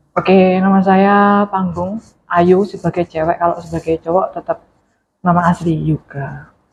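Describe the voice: At a fairly slow pace, a woman speaks in a fairly low, somewhat breathy voice with monotone, flat intonation.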